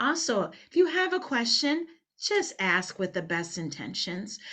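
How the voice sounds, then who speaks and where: A woman with a strong Liberian accent at a fairly slow pace, her pitch swinging very widely, over a quiet background. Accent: thick Liberian. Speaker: cultural consultant. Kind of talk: training webinar talk. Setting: webinar.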